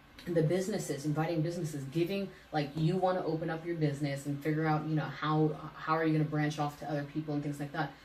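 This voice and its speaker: A woman with an American accent talks very fast in a very deep, low voice. Audible room echo and noticeable background noise are present. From Hayward, California (US West Coast). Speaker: city council candidate. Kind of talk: interview conversation.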